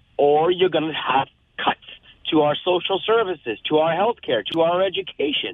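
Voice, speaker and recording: Using a Canadian accent, a man with a high pitch speaks at a moderate pace with ordinary pitch variation and very even loudness. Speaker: radio caller. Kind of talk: call-in opinion. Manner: animated.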